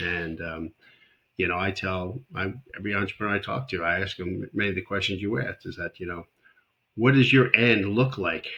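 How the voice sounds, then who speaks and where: This man speaks fairly quickly in a very deep, low voice with a bright, sharp tone and ordinary pitch variation. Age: 60s. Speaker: startup advisor. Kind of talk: interview conversation.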